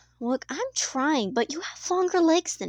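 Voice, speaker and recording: A woman puts on a character voice with a high pitch. She speaks at a moderate pace. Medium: solo performance. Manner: shifts abruptly between personalities.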